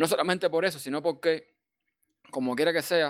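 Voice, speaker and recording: This very clean recording has a silent background. A man speaks with fairly even intonation. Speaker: server administrator. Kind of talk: casual chat.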